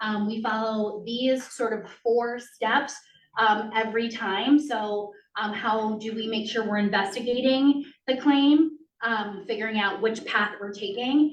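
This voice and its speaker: In a room with audible echo, a woman speaks at a fairly slow pace in a fairly high pitch with fairly even intonation. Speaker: school district compliance administrator. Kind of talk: presentation to school board. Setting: school committee meeting in library. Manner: many filler ums.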